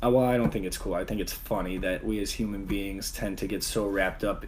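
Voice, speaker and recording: A man is speaking. His voice has audible room echo. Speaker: vlogger. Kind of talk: casual monologue. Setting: live stream. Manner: monotone; halting, many fillers.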